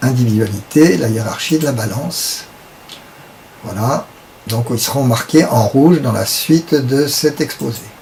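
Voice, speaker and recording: A man at medium pitch, speaking at a very slow pace with ordinary pitch variation, over noticeable background noise. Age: 70s. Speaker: esoteric teacher. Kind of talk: lecture. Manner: halting.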